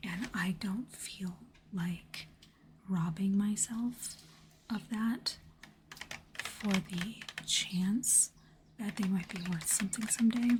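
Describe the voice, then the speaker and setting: A soft-spoken woman of medium pitch at a very slow pace, fairly even in intonation, with long, frequent pauses and noticeable background noise. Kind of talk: ASMR unboxing talk.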